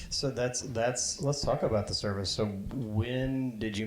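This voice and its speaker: Ordinary pitch movement from a male speaker, with noticeable noise in the background. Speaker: interviewer. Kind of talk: live event interview.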